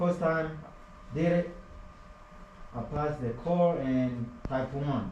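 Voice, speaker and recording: A man with a non-native accent and fairly high pitch, very slow pace, ordinary pitch variation, long and frequent pauses, noticeable background noise and audible room echo. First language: not English. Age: 20s. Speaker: HVAC apprentice. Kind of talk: classroom presentation.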